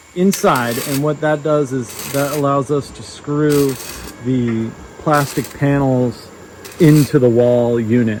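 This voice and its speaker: Noticeable background noise surrounds a man whose intonation is fairly even. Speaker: vlogger and business owner building modular housing. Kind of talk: casual vlog narration. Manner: loud.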